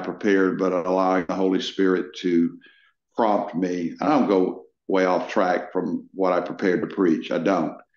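A man's fairly low voice amid audible room echo. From Texas. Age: 70s. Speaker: pastor. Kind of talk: interview. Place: office. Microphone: video call.

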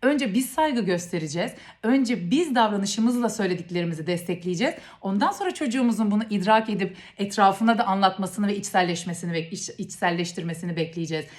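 Somewhat breathy and fairly quick, a woman talks at a medium pitch with ordinary pitch variation. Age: 30s. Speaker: parenting educator. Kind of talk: educational talk to camera.

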